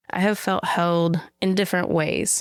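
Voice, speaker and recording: A woman with a Southern US accent, in a very clean recording with a silent background. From rural Western Kentucky. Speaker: social justice activist and artist. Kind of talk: interview conversation. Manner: reflective, conversational.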